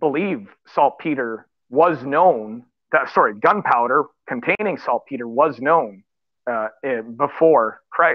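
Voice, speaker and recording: A fairly high-pitched man at a very slow pace, lively intonation, against a quiet background. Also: dry sound with no echo. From Canada. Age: 50s. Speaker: writer and public speaker; guest. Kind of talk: panel discussion. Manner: halting, many repeated words. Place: home room. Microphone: video call.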